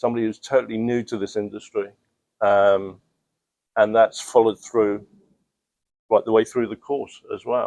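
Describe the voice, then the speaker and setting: With a London accent and monotone, flat intonation, a man speaks at a moderate pace with long, frequent pauses in a dry, close sound with no echo. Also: medium pitch for a man. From London, England. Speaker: student, aspiring pressure washing business owner. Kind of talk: interview. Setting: in person. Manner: hesitant, many fillers.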